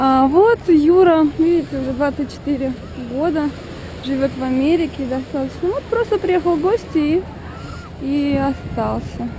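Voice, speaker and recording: Against noticeable background noise, a woman talks fairly slowly at a high pitch with ordinary pitch variation and long, frequent pauses. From Russia, Moscow. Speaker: street interviewer. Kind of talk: street interviews. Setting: outdoors, beach.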